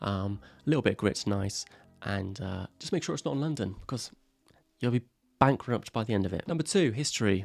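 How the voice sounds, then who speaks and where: With music in the background, a man speaks with an English accent at a fairly low pitch. His pace is fairly quick, broken by long, frequent pauses. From England. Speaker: YouTuber. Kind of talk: comedic list talk to camera. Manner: casual, sarcastic.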